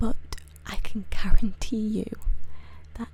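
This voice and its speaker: A soft-spoken woman is whispering. Her pace is fairly slow. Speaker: ASMR creator. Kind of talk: ASMR explainer, soft-spoken talk to camera. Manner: soft-spoken, whispering.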